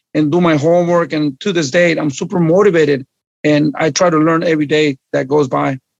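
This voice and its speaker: A man with a Spanish accent, fairly high pitch, fairly quick pace and fairly even intonation. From Mexico, Guerrero. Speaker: boxing trainer. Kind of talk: podcast interview. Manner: halting.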